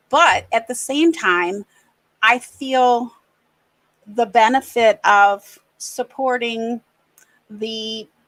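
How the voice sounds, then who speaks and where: A woman with an American accent and fairly high pitch, at a very slow pace with long, frequent pauses. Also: ordinary pitch variation. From US Midwest, Racine, Wisconsin. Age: 60s. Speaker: podcast panel guest. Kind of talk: personal testimony in podcast chat. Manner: halting, many restarts.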